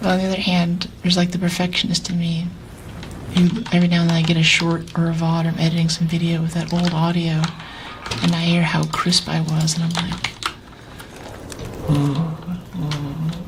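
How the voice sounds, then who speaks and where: Soft-spoken and fairly low-pitched, a woman talks at a moderate pace with monotone, flat intonation and long, frequent pauses, amid noticeable background noise and audible room echo. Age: 60s. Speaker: streamer. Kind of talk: casual chat.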